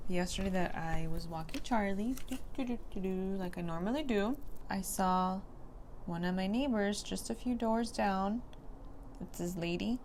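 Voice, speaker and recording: Amid audible room echo, a woman speaks at medium pitch and moderate pace with ordinary pitch variation. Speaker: beauty vlogger. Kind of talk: casual chat while doing makeup. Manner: whispering.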